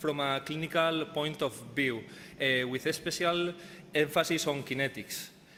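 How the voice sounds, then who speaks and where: Fairly high in pitch, a man with a Spanish accent speaks at a fairly slow pace with fairly even intonation. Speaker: professor. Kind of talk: conference talk. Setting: conference stage. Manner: halting, many fillers.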